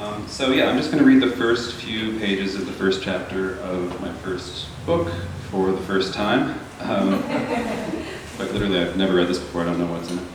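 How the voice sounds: Soft-spoken and low-pitched, a man talks with lively intonation in a room with audible echo. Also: moderate pace.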